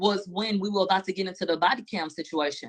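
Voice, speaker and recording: The voice carries a Houston accent and ordinary pitch variation. It moves at a fairly quick pace. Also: woman, dry, close sound with no echo. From Houston, Texas. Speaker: trial commentator. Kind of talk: casual chat.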